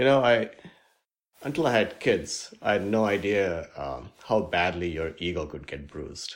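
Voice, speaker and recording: In a very clean recording with a silent background, a man with an Indian accent speaks at a moderate pace and a fairly low pitch, with very wide pitch swings and big swings in loudness. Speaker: healthcare technology executive. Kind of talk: interview conversation.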